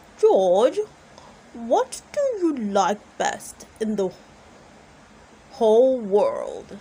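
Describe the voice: A woman's put-on character voice, dark and mellow with a slightly husky edge, medium in pitch with big pitch swings, at a very slow pace.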